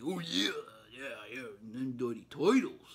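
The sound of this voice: A man in a put-on character voice with a New York accent speaks very slowly at a medium pitch, with clear background noise behind him. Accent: rough New York.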